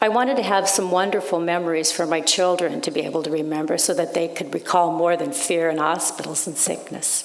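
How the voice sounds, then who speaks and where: Fairly quick speech from a woman with a fairly low pitch and ordinary pitch variation, over noticeable background noise. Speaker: writer. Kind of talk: sermon.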